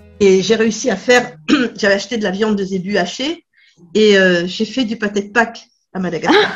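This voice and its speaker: This woman's somewhat breathy voice sits at a medium pitch, with ordinary pitch variation and a moderate pace. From France, Berry region. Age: 60s. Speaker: charity association founder. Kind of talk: interview. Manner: hesitant, many fillers.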